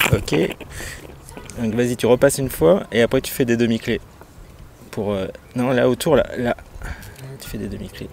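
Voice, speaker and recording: A man at a medium pitch talks at a moderate pace with lively intonation, big swings in loudness and long, frequent pauses, over noticeable background noise. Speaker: sailing vlogger. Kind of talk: casual vlog narration. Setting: on a sailboat.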